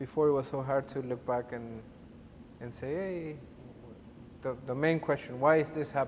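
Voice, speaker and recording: In a Spanish accent, a man with a fairly high pitch speaks at a moderate pace with fairly even intonation and long, frequent pauses. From Uruguay. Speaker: podcast guest. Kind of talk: casual chat. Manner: halting.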